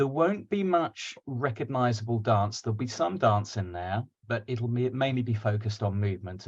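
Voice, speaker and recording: The voice is somewhat breathy, with ordinary pitch variation. It moves at a moderate pace over a quiet background. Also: man. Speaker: digital dance artist. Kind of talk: lecture. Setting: video call.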